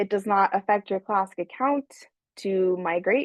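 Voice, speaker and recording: A woman at medium pitch speaks at a fairly slow pace with fairly even intonation. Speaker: webinar presenter for a software company. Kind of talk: live webinar tutorial with Q&A. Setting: online webinar. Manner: slow, deliberate explaining; hesitant, with fillers and restarts.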